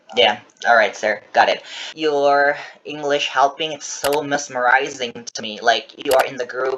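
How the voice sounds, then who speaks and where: With music in the background, a man speaks in an Indonesian accent at a moderate pace and a fairly high pitch. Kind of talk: interview.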